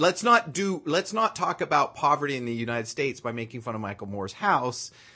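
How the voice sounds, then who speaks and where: A man speaks with very wide swings in his pitch. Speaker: podcast co-host. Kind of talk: casual chat.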